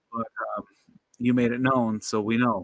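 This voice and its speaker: A man with an American accent speaks in a monotone, flat intonation, the sound dry and close with no echo. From Michigan. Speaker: knife collector livestreamer. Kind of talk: casual livestream chat. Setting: livestream.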